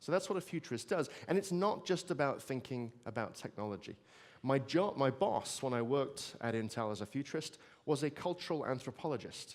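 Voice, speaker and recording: A man with a strong British accent talks with lively intonation. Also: fairly high pitch for a man, fairly quick pace. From Britain. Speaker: futurist speaker. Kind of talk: keynote talk. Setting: stage with audience. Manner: conversational, with fillers.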